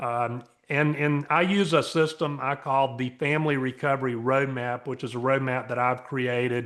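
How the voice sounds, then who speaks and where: A man speaks at a moderate pace. His pitch is medium and his intonation fairly even. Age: 60s. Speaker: interventionist and family recovery coach. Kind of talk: interview. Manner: halting, many fillers.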